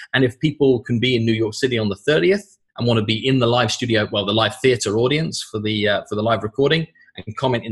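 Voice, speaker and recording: This speaker talks very fast with a British accent. The voice is somewhat breathy, with ordinary pitch variation. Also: man. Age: 30s. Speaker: sales trainer and author. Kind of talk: podcast interview.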